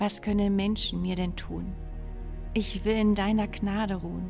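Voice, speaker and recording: Music plays behind a woman. She speaks very slowly. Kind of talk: poetry reading.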